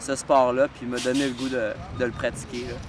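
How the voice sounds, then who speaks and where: Male voice amid noticeable background noise. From Quebec, Sherbrooke. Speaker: snowshoe racer. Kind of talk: interview.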